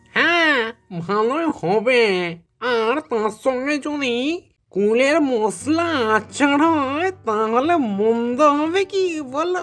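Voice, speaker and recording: A cartoonish character voice that sounds female, pitched high. She speaks at a very slow pace. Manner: lazy, mocking.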